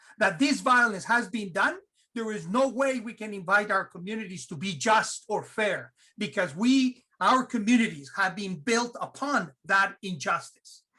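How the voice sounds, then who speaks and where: A man projects a raised voice, high in pitch and bright and sharp in tone, with an animated tone and lively intonation at a fairly slow pace. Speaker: theology professor. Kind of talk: panel discussion.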